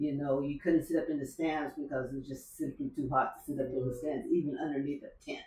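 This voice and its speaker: Amid noticeable background noise, a woman races along at a very fast pace with hardly any pauses, in a flat monotone and a very deep, low pitch. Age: 70s. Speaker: masters track athlete. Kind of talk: casual chat. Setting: in a home. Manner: halting, many fillers.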